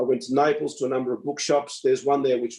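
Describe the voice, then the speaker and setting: The speaker is male. He talks with an Australian accent. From Melbourne, Australia. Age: 70s. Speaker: retired doctor and preserving author. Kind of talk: interview. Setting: online event.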